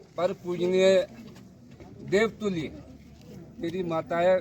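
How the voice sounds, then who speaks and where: A man's high-pitched voice is heard. Noticeable background noise accompanies it. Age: 60s. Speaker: hunger striker. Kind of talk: protest speech.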